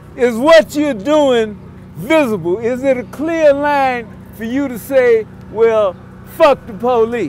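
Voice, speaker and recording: Noticeable background noise sits behind this man's voice. His pitch is extremely high, and he talks very slowly. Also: ordinary pitch variation. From Los Angeles, US. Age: 60s. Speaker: former activist, speaker. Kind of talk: speech at rally. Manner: emphatic.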